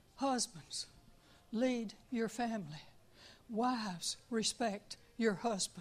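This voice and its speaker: Very slowly, a woman speaks in a somewhat breathy, fairly high voice. She leaves long, frequent pauses. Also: ordinary pitch variation. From Tucson, Arizona. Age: 70s. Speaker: church member giving a testimony. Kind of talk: testimony. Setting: church.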